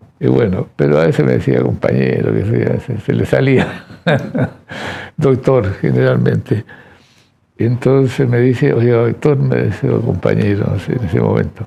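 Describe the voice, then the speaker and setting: A man speaks at a fairly slow pace. His very deep, low voice has very wide pitch swings. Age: 80s+. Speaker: forensic dentist, professor emeritus. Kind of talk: interview testimony. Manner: halting.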